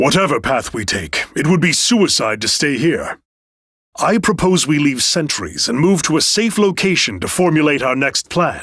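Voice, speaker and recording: Pitched fairly high, a man speaks in a put-on character voice. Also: moderate pace. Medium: video game. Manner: measured, commanding.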